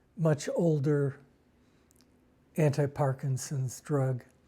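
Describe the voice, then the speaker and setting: A man's somewhat breathy voice with a dark, mellow tone and fairly high pitch, at a very slow pace with fairly even intonation, in a very clean recording with a silent background. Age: 60s. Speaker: Parkinson's patient. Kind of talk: interview.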